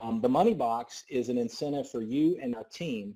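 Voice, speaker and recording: In a Southern US accent, a man speaks with a dark, mellow tone. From US South. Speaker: network marketing business coach. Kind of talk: sales pitch. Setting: conference call. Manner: fast; animated.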